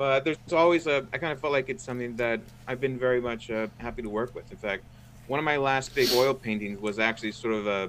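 A man talks at a fairly quick clip in an unremarkable speaking voice. His pitch is medium and his intonation fairly even. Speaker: guest, graphic artist.

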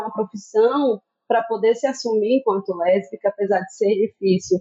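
A plain, everyday voice is heard. It moves along at a moderate pace. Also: woman. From Brazil, Bahia (Juazeiro). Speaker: teacher and researcher. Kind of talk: podcast interview.

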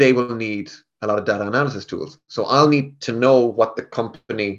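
With a Galway accent and ordinary pitch variation, a man speaks against a quiet background. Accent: Galway Irish. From west of Ireland, Galway. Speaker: tech sales rep. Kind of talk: casual interview.

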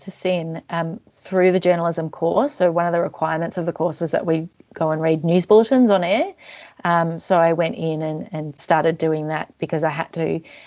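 Moderate delivery from a woman, her pitch on the fairly low side. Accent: Australian. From Australia, Melbourne southeastern suburbs. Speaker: arts organisation manager. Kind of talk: interview.

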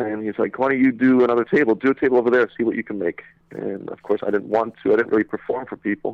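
A man's medium-pitched voice with an American accent, very fast, with fairly even intonation. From Saudi Arabia (American school). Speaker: magician. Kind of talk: casual chat. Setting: phone call.

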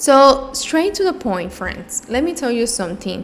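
Over noticeable background noise, a woman talks at a fairly slow pace. Her pitch moves in very wide swings. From Cuba. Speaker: mindfulness and self love coach, podcast host. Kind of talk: solo podcast monologue, casual and reflective. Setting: home office.

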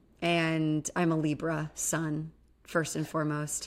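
This woman has a fairly low pitch and a bright, sharp tone, speaking at a fairly slow pace in an animated, playful way. The recording is very clean, with a silent background. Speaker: licensed therapist and podcast co-host. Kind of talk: casual chat, podcast discussion of reality TV.

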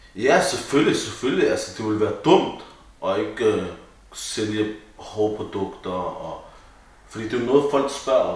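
Noticeable background noise and audible room echo around a man at a fairly slow pace with long, frequent pauses. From Denmark, Copenhagen (Vesterbro). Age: 20s. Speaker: barber and barbershop owner. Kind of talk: casual chat.

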